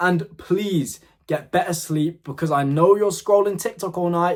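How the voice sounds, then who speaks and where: Heard in a very clean recording with a silent background, a man sounds animated, his fairly high voice showing ordinary pitch variation. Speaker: fitness content creator. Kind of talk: motivational talk to camera. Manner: fast.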